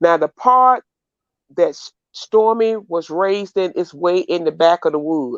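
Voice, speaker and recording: Speaking with a Mississippi accent, a woman uses a fairly low voice and lively intonation at a fairly slow pace. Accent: US Southern (Mississippi). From Mississippi Delta. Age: 60s. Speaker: caller on livestream. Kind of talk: casual chat.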